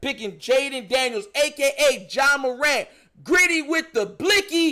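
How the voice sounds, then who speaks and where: A man with an extremely high pitch talks at a fairly slow pace in a raised, projected voice, his tone bright, sharp and animated and his intonation lively. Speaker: sports streamer. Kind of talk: live commentary. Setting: live stream.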